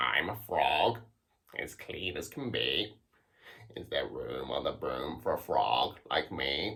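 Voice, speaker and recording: Using a put-on character voice, a man speaks at a fairly slow pace in a croaky, fairly low pitch. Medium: read story.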